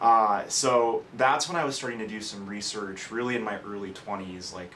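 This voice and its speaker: A man with an American accent, fairly low in pitch, with ordinary pitch variation at a moderate pace, amid noticeable background noise and audible room echo. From California, Bay Area. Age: 20s. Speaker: hair transplant patient. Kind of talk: testimony. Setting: stage with audience. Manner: halting, many fillers.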